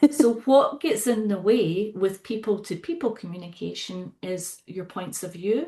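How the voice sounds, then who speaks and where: A woman speaks at a fairly slow pace with hardly any pauses, her fairly high, somewhat breathy voice dark and mellow in tone, with lively intonation and a Scottish accent. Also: big swings in loudness. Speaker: psychotherapist and facilitator. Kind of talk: podcast interview.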